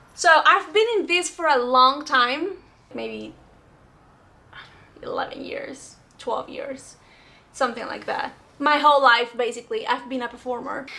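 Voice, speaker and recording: A woman speaks at a fairly slow pace with a high pitch, a bright, sharp tone and lively intonation. Her loudness swings widely, and her pauses are long and frequent. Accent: Spanish. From Venezuela. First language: Spanish. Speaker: actress. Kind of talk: casual vlog talk answering comments.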